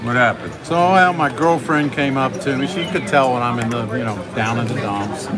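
Against noticeable background noise, the voice proceeds at a fairly slow pace. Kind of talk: casual table banter. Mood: jokey, upbeat. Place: hall. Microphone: phone near.

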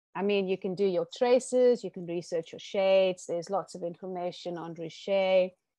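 Against a quiet background, a woman's medium-pitched voice with a dark, mellow tone comes through dry with no echo, shifting widely in loudness. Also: ordinary pitch variation, moderate pace, hardly any pauses. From South Africa, Eastern Cape farm town. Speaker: stained glass artist; interviewee. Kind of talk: interview. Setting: video call. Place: home room.

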